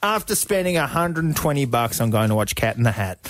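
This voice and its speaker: With an Australian accent, a speaker talks in an animated tone at a moderate pace, music playing in the background. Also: man. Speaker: radio breakfast show co-host. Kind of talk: casual radio banter and interviews. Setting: radio studio. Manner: animated, jokey.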